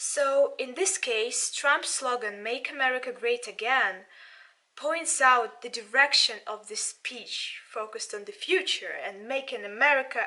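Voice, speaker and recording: A woman with a Russian accent projects a raised, bright, sharp, high voice, speaking fairly slowly with lively intonation. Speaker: politics student and channel owner. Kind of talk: video commentary. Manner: halting.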